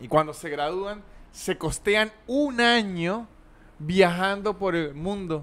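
Talking at a very slow pace, a man uses a high voice with ordinary pitch variation. His loudness swings widely. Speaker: podcast host. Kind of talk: casual comedy chat. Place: studio. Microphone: studio mic.

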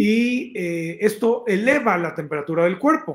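This man speaks with a Mexican accent. The background is quiet. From Mexico, Oaxaca. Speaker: health magazine director and show host; show host. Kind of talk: live-stream talk to viewers, health advice. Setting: live stream reading chat comments. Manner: conversational, with filler hesitations. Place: home room.

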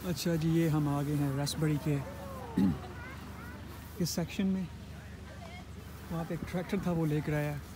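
A man speaks at a fairly slow pace in a fairly high voice, with fairly even intonation, long and frequent pauses, and clear background noise.

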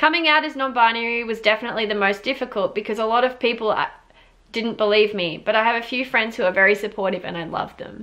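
Speaking at a very fast pace, a woman with an Australian accent uses a fairly high pitch and ordinary pitch variation. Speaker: YouTuber. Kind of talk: casual reaction video, reading viewer stories aloud. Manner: animated. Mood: warm, upbeat. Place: home room. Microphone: camera far.

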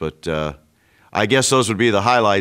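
In an American accent, someone talks with a quiet background behind them. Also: man. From American, Illinois. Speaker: radio play-by-play broadcaster. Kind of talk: reflective interview answer. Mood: warm, nostalgic. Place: studio.

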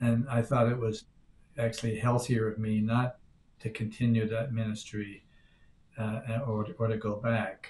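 Against light background noise, a man with an American accent speaks fairly slowly in a somewhat breathy, medium-pitched voice, monotone and flat, with long, frequent pauses. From Newfoundland, Canada. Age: 70s. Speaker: priest. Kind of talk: interview. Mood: calm, reflective. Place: home room. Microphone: webcam.

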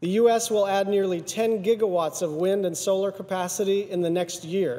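This man speaks in a high pitch with ordinary pitch variation. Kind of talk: formal speech. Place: hall. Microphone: podium.

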